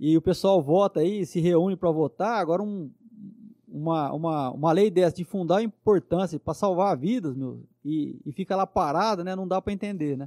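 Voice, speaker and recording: Dark and mellow in tone, a man speaks at a high pitch and a moderate pace with ordinary pitch variation. The sound is dry and close with no echo, on a very clean recording with a silent background. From Brazil, São José do Rio Preto (São Paulo state). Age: 50s. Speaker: police officer. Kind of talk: interview.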